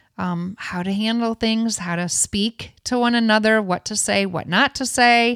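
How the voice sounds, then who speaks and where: On a very clean recording with a silent background, a woman with a Midwestern accent talks at a fairly slow pace and a fairly high pitch, with fairly even intonation and hardly any pauses. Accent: Northern US, Midwestern. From Michigan. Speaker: songwriter and worship leader. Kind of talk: casual interview chat.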